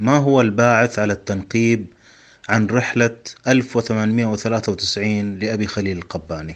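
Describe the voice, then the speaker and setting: A man talks with fairly even intonation, keeping to a very slow pace. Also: fairly low pitch for a man. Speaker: podcast host. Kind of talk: interview. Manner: formal.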